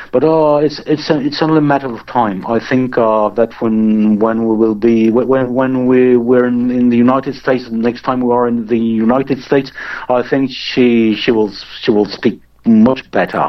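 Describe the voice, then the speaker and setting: A man with a French accent talks at a moderate pace with fairly even intonation. Noticeable background noise runs underneath. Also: medium pitch for a man. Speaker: musician. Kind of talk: casual interview. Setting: remote call. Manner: halting.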